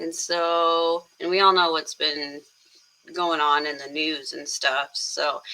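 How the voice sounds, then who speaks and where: Quiet and very slow, a woman talks at a fairly low pitch over noticeable background noise. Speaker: music reaction YouTuber. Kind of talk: casual reaction video talk.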